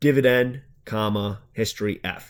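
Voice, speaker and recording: A man with a Long Island accent talks at a fairly slow pace, with a fairly low pitch. His intonation is monotone and flat, on a very clean recording with a silent background. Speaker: finance YouTuber. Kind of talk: tutorial. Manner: casual.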